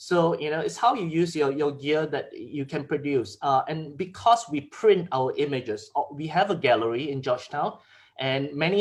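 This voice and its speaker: A man's fairly high voice comes out somewhat breathy, at a moderate pace with ordinary pitch variation. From Malaysia, Penang. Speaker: photographer. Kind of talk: Q&A chat; presentation talk.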